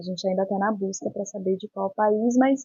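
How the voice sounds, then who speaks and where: A woman talks with a fairly high pitch and ordinary pitch variation. Her voice is somewhat breathy. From São Luís, Maranhão, Brazil. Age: 20s. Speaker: psychology doctoral researcher. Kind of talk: interview. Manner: halting, many fillers.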